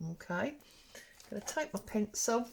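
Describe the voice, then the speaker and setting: Speaking at a fairly slow pace, a woman has a fairly high, somewhat breathy voice. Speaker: papercraft YouTuber. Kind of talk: crafting tutorial. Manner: casual, chatty.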